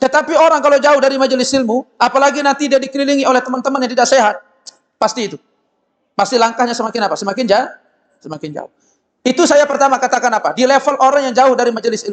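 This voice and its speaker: A man speaks loudly at an extremely high pitch and a very fast pace. His tone is animated, with ordinary pitch variation. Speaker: Islamic preacher. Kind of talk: sermon. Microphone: loud microphone, briefly cutting out.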